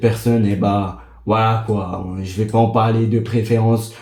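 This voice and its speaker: A man talks at a fairly slow pace in a dark, mellow, somewhat breathy tone. His intonation is fairly even, with audible room echo. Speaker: gaming streamer. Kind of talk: casual gaming vlog monologue.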